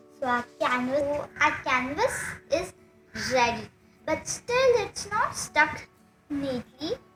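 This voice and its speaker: A woman's high pitch in very wide swings, at a very slow pace with long, frequent pauses, over music in the background. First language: Marathi. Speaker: craft youtuber. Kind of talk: tutorial. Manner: halting.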